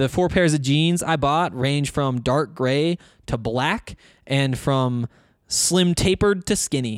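On a very clean recording with a silent background and a dry, close sound with no echo, a fairly high-pitched man with a Montana accent speaks at a fairly slow pace with ordinary pitch variation. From Northwest Montana. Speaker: sports podcast host. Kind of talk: casual solo podcast talk. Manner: halting, many fillers and false starts.

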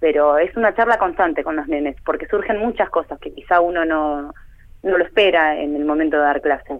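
A woman's fairly low-pitched, ordinary speaking voice, fairly quick in pace, with ordinary pitch variation. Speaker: art teacher. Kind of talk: interview.

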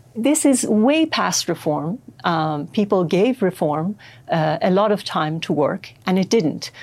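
On a very clean recording with a silent background, a woman at a medium pitch speaks at a fairly slow pace with very wide pitch swings. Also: very even loudness. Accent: Persian. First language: Persian. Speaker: writer. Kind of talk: interview.

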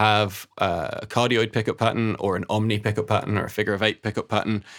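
A man talks fairly quickly on a very clean recording, the background silent. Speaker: mastering engineer and audio writer. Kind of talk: casual chat.

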